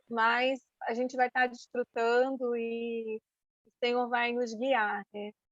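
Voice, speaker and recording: Music plays behind a woman who speaks at a very slow pace and high pitch in a monotone, flat intonation. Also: dry, close sound with no echo. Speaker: women's ministry speaker. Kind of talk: church talk to women.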